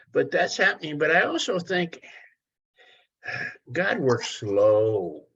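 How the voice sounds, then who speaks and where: Speech comes at a very slow pace with long, frequent pauses. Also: man. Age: 70s. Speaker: study group participant. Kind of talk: group discussion.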